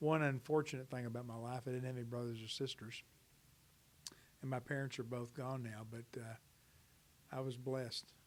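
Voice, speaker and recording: A man speaks fairly quickly in an American accent and a flat monotone at medium pitch. He leaves long, frequent pauses. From Dallas, Texas. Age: 60s. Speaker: interviewee. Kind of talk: interview. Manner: hesitant, with many fillers.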